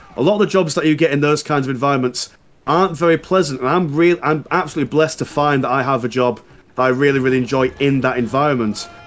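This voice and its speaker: With a Yorkshire accent, a man speaks at a very fast pace in a fairly high pitch with ordinary pitch variation. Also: very even loudness. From Yorkshire, northern England. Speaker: YouTuber, gaming guest. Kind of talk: casual chat while gaming.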